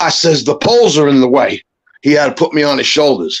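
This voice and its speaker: Talking very fast with lively intonation, a man uses a fairly high pitch for a man and a New York accent. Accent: heavy New York. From New York, Brooklyn. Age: 60s. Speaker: caller. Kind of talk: casual chat.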